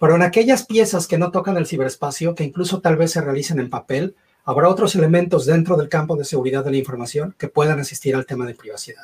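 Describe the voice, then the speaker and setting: A man talks at a very fast pace with hardly any pauses. His pitch is fairly high, with ordinary variation. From Mexico. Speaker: cybersecurity consultant. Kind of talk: panel discussion.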